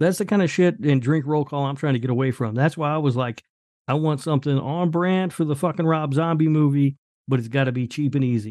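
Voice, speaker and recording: Against a quiet background, a man with a fairly high pitch talks at a fairly quick pace with ordinary pitch variation, in an unremarkable speaking voice. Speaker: podcast co-host. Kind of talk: casual chat.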